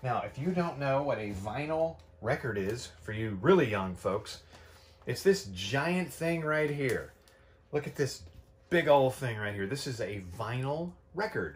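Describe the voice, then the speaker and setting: The voice is somewhat breathy, moving at a fairly slow pace with very wide pitch swings. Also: man. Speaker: vinyl collector vlogger. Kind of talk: casual vlog chat. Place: home room. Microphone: camera far.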